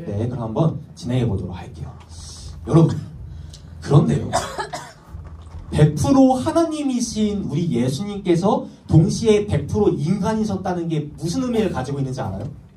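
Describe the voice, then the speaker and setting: Animated in tone, a man with a fairly high pitch speaks at a moderate pace, with very wide pitch swings, big swings in loudness, and long, frequent pauses, amid audible room echo and noticeable background noise. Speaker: youth pastor. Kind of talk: sermon.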